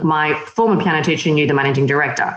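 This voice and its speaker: A woman talks at a very fast pace in an Australian accent. There's audible echo in the room. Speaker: magazine editor and publisher. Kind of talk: interview.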